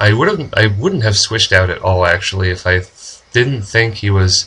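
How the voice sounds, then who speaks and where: Someone with a normal speaking voice talks at a moderate pace. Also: man. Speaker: gaming commentator. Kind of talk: casual gameplay commentary.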